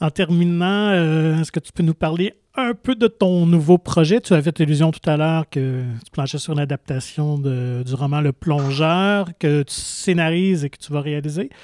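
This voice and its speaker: A man with a plain, everyday voice, fairly high in pitch and fairly slow in pace, with ordinary pitch variation, big swings in loudness, and a dry, close sound with no echo on a very clean recording with a silent background. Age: 40s. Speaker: podcast host. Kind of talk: interview.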